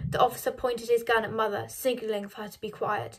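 The intonation stays fairly even as someone reads aloud in a natural voice.

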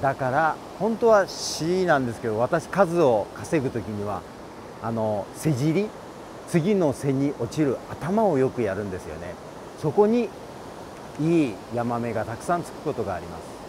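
At a fairly slow pace, a man speaks with very wide pitch swings and big swings in loudness. The sound is dry with no echo, though noticeable background noise is present. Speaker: expert angler instructor. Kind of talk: tutorial. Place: waterside.

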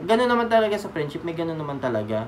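Light background noise sits behind a man talking. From Philippines. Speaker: vlogger. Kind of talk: casual storytelling vlog. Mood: sentimental, grateful. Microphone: phone near.

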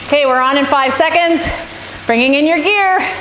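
Noticeable background noise sits behind a woman speaking in an animated tone. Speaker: cycling coach. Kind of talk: guided indoor cycling workout. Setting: live online stream to riders. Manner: animated, encouraging, rhythmic cues and countdowns; brisk, clear, authoritative.

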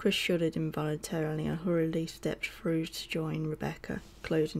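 A woman at a fairly low pitch with a British accent and monotone, flat intonation, in a very clean recording with a silent background. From UK. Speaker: audiobook narrator. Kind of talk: audiobook reading of a horror novel, narrated with character dialogue. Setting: home recording with added game sound effects. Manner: measured storyteller pacing, hushed and suspenseful in creepy scenes.

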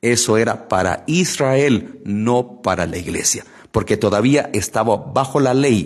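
Very slow male speech over a quiet background. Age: 40s. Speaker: lay preacher. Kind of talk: Bible study livestream. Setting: live stream. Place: studio. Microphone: studio mic.

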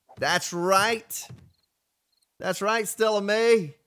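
A man with an American accent speaks at a very slow pace with fairly even intonation. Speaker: live game streamer. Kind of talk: live gameplay stream, reading chat. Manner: casual, conversational.

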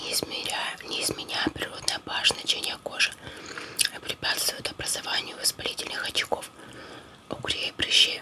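Whispering, the woman goes on at a moderate pace. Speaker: ASMR creator. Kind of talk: ASMR reading of a cosmetics book while chewing gum. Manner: whispered. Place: home room. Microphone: phone near.

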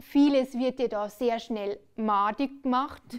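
A woman talks at a fairly slow pace, her pitch high with ordinary variation. The background is quiet. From Bavaria. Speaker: cabaret performer. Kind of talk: stand-up comedy on stage. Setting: live stage. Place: stage. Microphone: headset.

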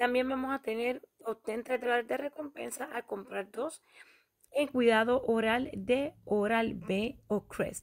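A woman speaks at a very slow pace with ordinary pitch variation, the sound dry and close with no echo. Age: 40s. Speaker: YouTuber, couponing channel host. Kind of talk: shopping deals tutorial.

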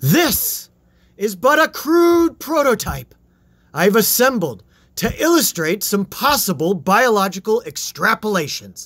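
Delivered at a fairly slow pace with very wide pitch swings, the put-on character voice keeps a very even loudness on a very clean recording with a silent background. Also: man, high pitch for a man. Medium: read story. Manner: grandiose, impassioned.

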